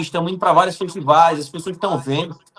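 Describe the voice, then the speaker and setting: Noticeable background noise runs under a man speaking with a Paraíba accent and a high pitch. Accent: Paraíba northeastern Brazilian Portuguese. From Paraíba, Brazil (Campina Grande). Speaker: actor. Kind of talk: interview.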